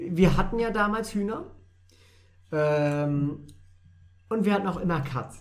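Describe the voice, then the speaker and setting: A man's high-pitched voice at a fairly slow pace, with ordinary pitch variation, long, frequent pauses and audible room echo. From Lower Saxony, Germany (Wolfenbüttel). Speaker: podcast co-host. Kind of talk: casual chat.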